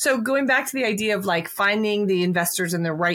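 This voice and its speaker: Fairly quick and lively in intonation, a woman talks at a medium pitch in an unremarkable speaking voice. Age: 40s. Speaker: podcast host. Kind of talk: interview.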